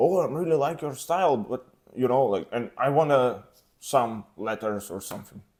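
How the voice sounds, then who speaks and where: Speaking in a Russian accent at a fairly slow pace, a man with a medium pitch makes very wide pitch swings. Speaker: tattoo artist. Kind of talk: casual interview. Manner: halting.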